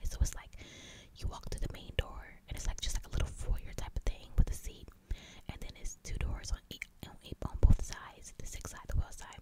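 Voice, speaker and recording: Someone whispers at a fairly quick pace. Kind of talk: ASMR whisper ramble; casual storytelling to camera. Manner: whispered.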